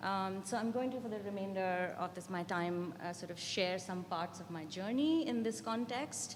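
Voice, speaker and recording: Amid noticeable background noise and audible room echo, a woman speaks at a moderate pace and medium pitch, her pitch varying in an ordinary way. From India. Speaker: art education professor. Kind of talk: academic conference talk. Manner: frequent ums and hesitations.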